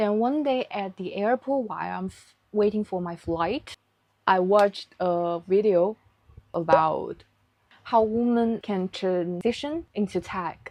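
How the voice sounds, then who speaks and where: A woman with a Chinese accent, medium pitch, ordinary pitch variation and a fairly slow pace. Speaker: vlogger. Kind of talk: vlog narration. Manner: careful, non-native.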